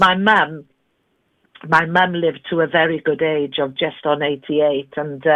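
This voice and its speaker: A woman with a slight Welsh accent speaks at a very slow pace in a very deep, low pitch, her intonation fairly even. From Wales, Carmarthen. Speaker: interview guest, singer. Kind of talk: polished interview voice. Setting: phone.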